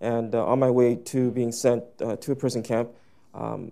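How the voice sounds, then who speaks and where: Flat, monotone intonation from a man with a dark, mellow tone against a quiet background. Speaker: interpreter; panelist. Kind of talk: consecutive interpretation. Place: hall. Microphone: lapel.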